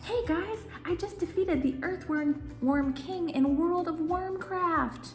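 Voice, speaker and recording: Putting on a character voice, a woman speaks at a fairly slow pace over clear background noise. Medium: read story. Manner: eager, earnest.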